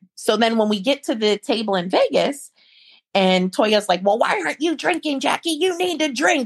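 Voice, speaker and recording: With an American accent, a woman speaks at a moderate pace in a high pitch, her voice making very wide pitch swings. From US Midwest, small town in Ohio. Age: 30s. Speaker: real estate attorney and reality TV cast member. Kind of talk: casual interview.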